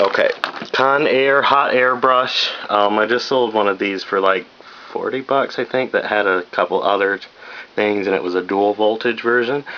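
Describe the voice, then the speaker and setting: A man speaks at a moderate pace in a medium pitch with ordinary pitch variation. His loudness stays very even over noticeable background noise. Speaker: reseller vlogger. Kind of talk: casual haul video.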